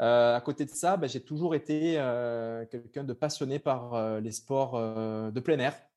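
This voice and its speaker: The voice has a dark, mellow tone and ordinary pitch variation. It moves at a very slow pace with hardly any pauses against a quiet background. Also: man, medium pitch for a man. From southern France, Cavaillon. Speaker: ultra-trail runner. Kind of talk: interview.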